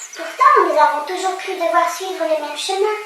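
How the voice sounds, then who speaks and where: The speaker puts on a character voice at a moderate pace, with big swings in loudness. Clear background noise and a slight echo can be heard. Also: woman, extremely high pitch for a woman. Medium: read story.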